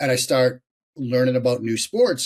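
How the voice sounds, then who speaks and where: A man's somewhat breathy voice with an American accent at a moderate pace. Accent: Boston accent, may come out. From US Northeast, Boston area. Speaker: sports journalist, former quarterback and lawyer. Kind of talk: casual podcast interview.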